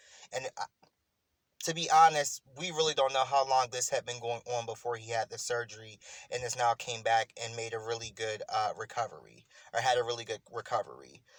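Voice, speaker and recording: At a fairly quick pace, a man with a medium pitch and a somewhat breathy voice speaks with fairly even intonation, the sound dry and close with no echo. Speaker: spiritual commentary vlogger. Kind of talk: casual monologue commentary. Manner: halting, some stuttering.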